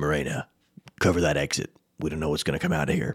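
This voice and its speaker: A man's gruff, raspy, put-on character voice, very deep and low in pitch, with fairly even intonation at a very fast pace. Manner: commanding.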